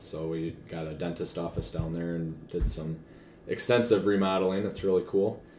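An American-accented man speaks at a moderate pace with fairly even intonation. Room echo is audible. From northern Michigan, US. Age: 20s. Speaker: financial advisor. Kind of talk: casual interview chat. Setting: home kitchen.

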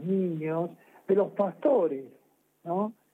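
This man's voice sits at a high pitch. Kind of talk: casual chat. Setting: phone call.

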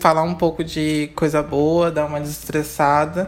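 A woman with a Brazilian accent, very deep and low in pitch, at a fairly slow pace amid noticeable background noise. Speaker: podcast co-host. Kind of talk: casual chat.

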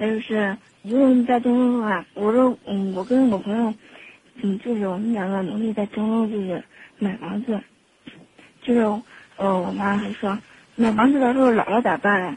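A woman talks at a moderate pace with fairly high pitch and fairly even intonation. Her speech has long, frequent pauses. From Xinxiang, Henan, China. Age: 20s. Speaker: radio call-in caller. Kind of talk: phone-in advice conversation. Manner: halting, many hesitations.

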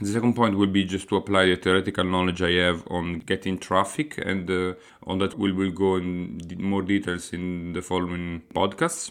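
The speaker has an Italian accent and a monotone, flat intonation. The pace is moderate, with hardly any pauses. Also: man, very deep, low pitch for a man. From Italy. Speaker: podcast host, aspiring entrepreneur. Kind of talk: solo podcast monologue. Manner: hesitant, frequent fillers.

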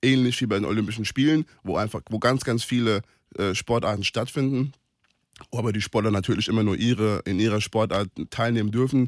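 The sound is dry and close with no echo as a man speaks at a fairly quick pace in a plain, everyday voice. His pitch is medium for a man and his intonation fairly even. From Palatinate, Germany (Kaiserslautern). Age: 20s. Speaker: sports event organizer. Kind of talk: radio interview.

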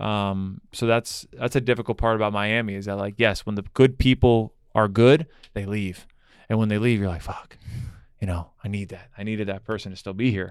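A man speaks at a moderate pace in an unremarkable speaking voice. His pitch is fairly low and his intonation fairly even. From South Florida (Broward County). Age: 30s. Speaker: stand-up comedian. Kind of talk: casual chat. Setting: studio.

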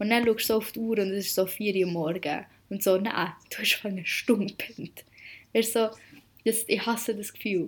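A plain, everyday voice moves at a moderate pace with fairly even intonation and big swings in loudness. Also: woman, fairly high pitch for a woman. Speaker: podcast co-host, apprentice. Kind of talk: casual chat.

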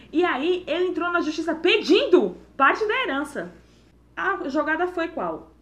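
Amid audible room echo, a woman with an extremely high pitch speaks at a fairly slow pace with ordinary pitch variation. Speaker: podcast co-host. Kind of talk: casual chat.

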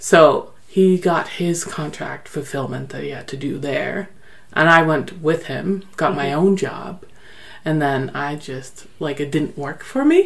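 Speaking with a Canadian accent, a woman uses a very deep, low pitch, ordinary pitch variation, a fairly slow pace and big swings in loudness, with audible room echo. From Netherlands, raised in Canada. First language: Dutch. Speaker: guest, teacher. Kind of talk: interview, personal story.

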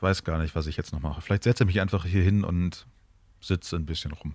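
Fairly even intonation in a very clean recording with a silent background. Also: man. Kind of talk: casual chat. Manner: polished, professional-sounding delivery.

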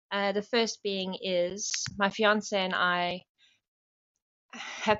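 A woman's medium-pitched voice, flat and monotone in its intonation. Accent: South African. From South Africa. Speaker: bride-to-be sending a voice message. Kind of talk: recorded voice message. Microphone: phone voice note.

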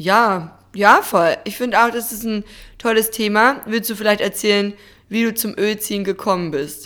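At a moderate pace, a woman with a plain, everyday voice and a fairly high pitch speaks with ordinary pitch variation in a very clean recording with a silent background. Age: 20s. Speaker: podcast co-host. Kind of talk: casual chat.

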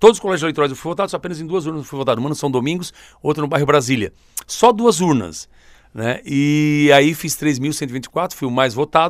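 A man with an unremarkable speaking voice talks at a fairly quick pace on a very clean recording with a silent background. His pitch is fairly high, with ordinary variation. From southern Santa Catarina, Brazil. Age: 50s. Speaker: vice mayor and former journalist. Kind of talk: radio interview.

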